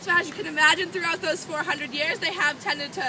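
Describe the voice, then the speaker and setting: The speaker has an American accent. Crowd noise can be heard in the background. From Boston area, US. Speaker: student tour guide. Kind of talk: guided campus tour.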